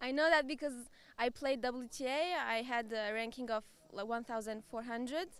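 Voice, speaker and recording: A woman speaks with a Turkish accent at a high pitch. Her pitch variation is ordinary and her pace moderate. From Turkey. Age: 20s. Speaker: amateur tennis player. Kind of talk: interview. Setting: arena. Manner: halting.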